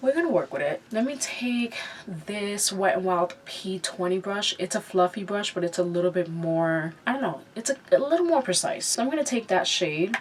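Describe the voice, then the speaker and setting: Over noticeable background noise, a woman speaks at a moderate pace and medium pitch, with very wide pitch swings and hardly any pauses. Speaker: beauty vlogger. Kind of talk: makeup tutorial with casual chat. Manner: casual, filler-heavy.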